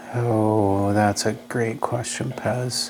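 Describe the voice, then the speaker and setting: Over noticeable background noise, a man with an Upper Midwest accent speaks at a fairly low pitch with ordinary pitch variation. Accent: Upper Midwest American. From US Midwest, Wisconsin. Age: 60s. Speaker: retired judge. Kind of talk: podcast interview.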